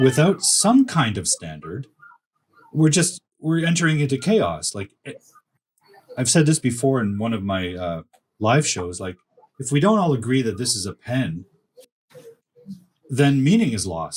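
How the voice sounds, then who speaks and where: A man speaks with very wide pitch swings and a somewhat breathy quality, leaving long, frequent pauses, in a dry, close recording with no echo. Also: medium pitch for a man. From Canada. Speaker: academic writing coach. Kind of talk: casual chat.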